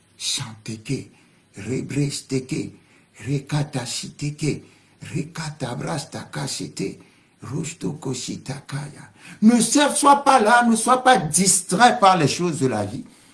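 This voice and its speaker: A man with fairly high pitch speaks at a very slow pace with vocal fry. His voice shows very wide pitch swings and big swings in loudness. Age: 60s. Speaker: pastor. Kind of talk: sermon. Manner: speaking in tongues interspersed.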